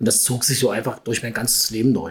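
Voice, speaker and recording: Noticeable background noise sits under speech delivered at a very fast pace with fairly even intonation. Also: man. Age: 50s. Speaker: purchasing and housekeeping manager. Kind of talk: casual interview.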